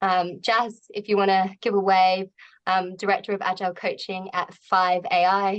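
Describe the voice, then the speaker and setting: A woman talks with an Australian accent at a moderate tempo. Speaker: agile coach, event host. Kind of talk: event hosting introduction. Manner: frequent um fillers.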